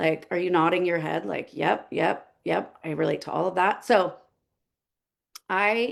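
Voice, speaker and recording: The voice has vocal fry and an animated tone, moving at a fairly slow pace. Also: woman. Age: 40s. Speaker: health coach. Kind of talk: webinar presentation.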